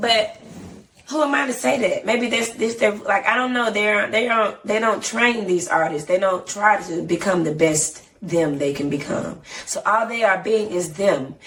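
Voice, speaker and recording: With an American accent, the speaker uses lively intonation and an animated tone at a fairly slow pace, with audible room echo and noticeable background noise. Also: woman, medium pitch for a woman. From Atlanta, Georgia, US South. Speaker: singer and rapper. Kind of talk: interview.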